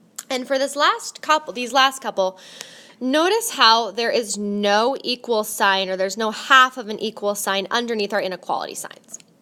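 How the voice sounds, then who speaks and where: A woman with a fairly high pitch, ordinary pitch variation and a moderate pace, amid noticeable background noise. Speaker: math teacher. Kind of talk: tutorial.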